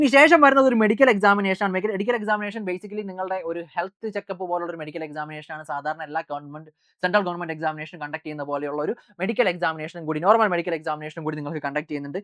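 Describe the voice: Words come at a very fast pace with ordinary pitch variation and a fairly bright tone. The sound is dry and close, with no echo. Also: woman, fairly low pitch for a woman.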